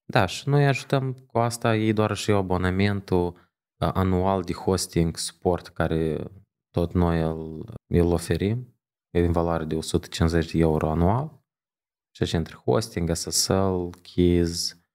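A man with a very deep, low pitch speaks very slowly with ordinary pitch variation against a quiet background. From Moldova, Chișinău; Moldova. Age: 30s. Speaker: digital agency founder; podcast guest. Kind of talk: interview. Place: studio. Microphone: studio mic.

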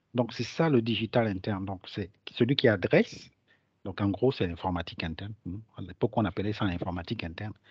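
This man has a fairly low, somewhat breathy voice. He talks at a fairly quick pace with ordinary pitch variation. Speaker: digital transformation consultant. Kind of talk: webinar presentation. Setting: online webinar.

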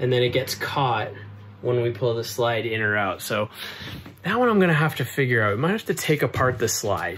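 The speaker goes at a fairly quick pace with ordinary pitch variation over light background noise. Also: man. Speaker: renovation vlogger. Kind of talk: casual vlog chat. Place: home room. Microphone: phone near.

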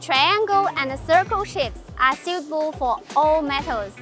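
A woman speaks in a high voice at a fairly slow pace. Clear music sits in the background, and the sound is dry with no echo. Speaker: presenter. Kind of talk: product tutorial presentation. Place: hall. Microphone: lapel.

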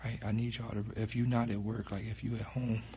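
A man speaks with fairly even intonation at a fairly low pitch, his voice somewhat breathy over light background noise. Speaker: livestreamer. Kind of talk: casual livestream chat. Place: home room. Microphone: phone near.

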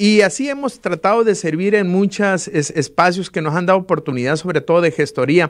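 Against a quiet background, a man with a high pitch talks at a fairly quick pace, with ordinary pitch variation and hardly any pauses. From Sinaloa, Mexico. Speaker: political candidate, lawyer; candidate. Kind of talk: interview; interview answer. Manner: hesitant, many filler words. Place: studio. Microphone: studio mic.

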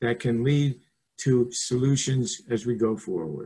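Speaking at a very slow pace, a man's somewhat breathy voice comes through with a dark, mellow tone over a quiet background. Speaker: architect and webinar moderator. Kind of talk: moderating a panel discussion. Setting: video call. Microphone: webcam.

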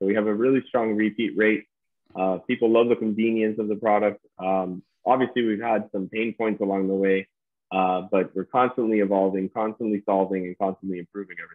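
Speaking at a fairly quick pace in an American accent, a man holds a fairly low, monotone, flat pitch against a quiet background. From Key Biscayne, Florida; Florida. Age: 30s. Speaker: startup co-founder; guest. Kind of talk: interview. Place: home room. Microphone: video call.

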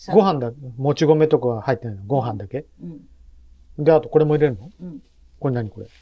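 Somewhat breathy, a man speaks at a very fast pace with long, frequent pauses over light background noise. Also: fairly high pitch for a man, big swings in loudness. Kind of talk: casual vlog narration and chat. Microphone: phone near.

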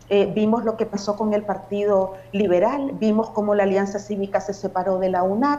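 Over noticeable background noise, a woman talks at a moderate pace and medium pitch, with fairly even intonation and very even loudness. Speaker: human rights defender. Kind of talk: formal TV interview.

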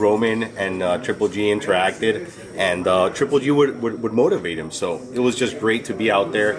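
Amid noticeable background noise, a man with a fairly low voice speaks at a moderate pace with ordinary pitch variation. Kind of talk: interview answer. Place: gym. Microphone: handheld.

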